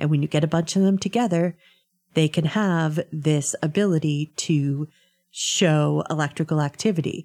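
In a very clean recording with a silent background, a woman with a very deep, low voice speaks at a moderate pace in a dark, mellow tone, her intonation fairly even and her loudness very even, the sound dry and close with no echo. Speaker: radio panelist. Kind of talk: casual political discussion. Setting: radio studio. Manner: joking, wry.

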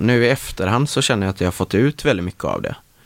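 A man talks with lively intonation. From west Sweden (Marstrand, near Gothenburg). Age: 20s. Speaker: actor. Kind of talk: casual interview chat. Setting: studio.

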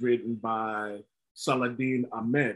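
At a fairly slow pace, a man talks in an ordinary speaking voice with a medium pitch. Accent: American. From northern US. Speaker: podcast host. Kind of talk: casual chat.

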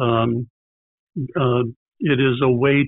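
A man with a US Midwestern accent, medium pitch and ordinary pitch variation. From Indiana, US Midwest. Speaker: retired pastor. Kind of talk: casual interview. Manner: halting.

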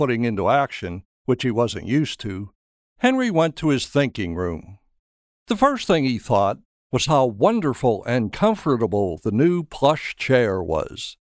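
In a normal speaking voice, a man with a medium pitch talks at a fairly slow pace with lively intonation, on a very clean recording with a silent background. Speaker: narrator. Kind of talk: fairy-tale narration, scripted audio drama storytelling. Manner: wry, gently humorous, storybook storyteller.

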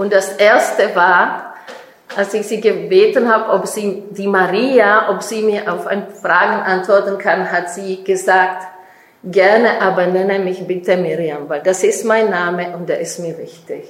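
A woman with a Czech accent speaks fairly slowly at medium pitch with fairly even intonation, amid audible room echo and noticeable background noise. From Czech Republic. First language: Czech (speaking German). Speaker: author and speaker. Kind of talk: lecture.

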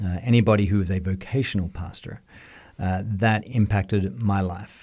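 Dark and mellow in tone, a man with an Australian accent speaks at a moderate pace with ordinary pitch variation. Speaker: music school director. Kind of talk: interview. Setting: studio.

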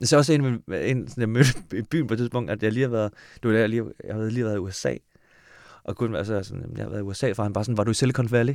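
A man speaks at a medium pitch and a very fast pace. His pitch varies in an ordinary way, and the recording is very clean with a silent background. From Denmark (adopted from Korea). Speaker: screenwriter. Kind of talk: casual chat.

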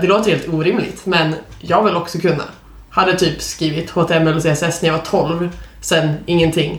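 A woman's fairly low voice at a moderate pace, with audible room echo and noticeable background noise. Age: 20s. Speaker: podcast co-host, junior software developer. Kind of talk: casual chat.

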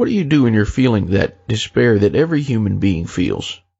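A man with a plain, everyday voice, medium pitch and a moderate pace. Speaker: talk show host. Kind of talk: interview.

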